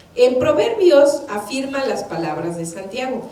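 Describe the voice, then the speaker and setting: A woman's high voice with very wide pitch swings at a fairly slow pace, with audible room echo and noticeable background noise. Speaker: church minister. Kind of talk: sermon.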